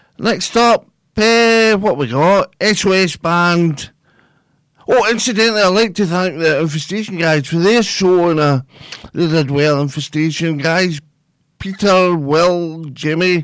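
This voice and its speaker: This man has a Scottish accent and a high pitch, speaking fairly slowly with ordinary pitch variation. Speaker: radio presenter. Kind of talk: radio dj patter, live community station show. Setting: studio. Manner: relaxed, warm, chatty, easy-going, loosely rambling; unhurried, friendly, with station idents repeated.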